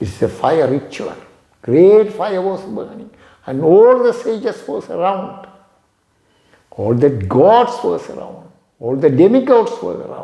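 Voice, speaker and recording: Speaking at a fairly slow pace with a Tamil accent, a man leaves long, frequent pauses, his loudness swinging widely amid audible room echo. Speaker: yoga teacher. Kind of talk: storytelling lecture.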